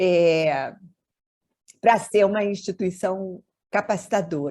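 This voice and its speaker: A woman speaks at a very slow pace with ordinary pitch variation over a quiet background. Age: 70s. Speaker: mediator and family therapist. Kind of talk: webinar talk.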